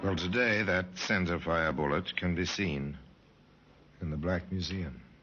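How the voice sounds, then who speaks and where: Over music in the background, a man speaks at a fairly slow pace in a very deep, low pitch with ordinary pitch variation. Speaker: radio host and narrator. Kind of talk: radio drama narration. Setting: old radio recording.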